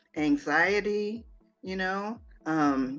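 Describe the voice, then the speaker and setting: Music sounds in the background as a woman speaks with lively intonation. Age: 60s. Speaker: author and minister. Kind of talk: interview. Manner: hesitant, many fillers and restarts.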